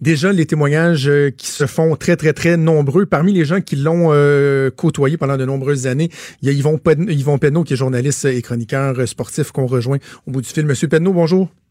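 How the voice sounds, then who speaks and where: A man with a Quebec accent speaks in a dark, mellow tone at a fairly high pitch and a moderate pace. His intonation stays fairly even, and the sound is dry and close with no echo. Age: 30s. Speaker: radio host. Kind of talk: radio talk show.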